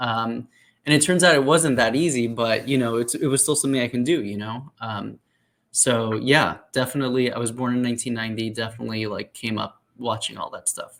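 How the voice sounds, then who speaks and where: In an unremarkable speaking voice, a man with an American accent speaks at a fairly quick pace, medium in pitch with fairly even intonation, on a very clean recording with a silent background. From South Florida, US. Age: 30s. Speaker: comic book writer. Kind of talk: interview. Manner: casual, many fillers.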